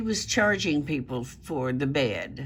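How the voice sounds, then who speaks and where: Every word comes out at a very slow pace. A Southern US accent runs through the speech. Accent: Southern US country. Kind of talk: casual news commentary to camera. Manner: hesitant, conversational.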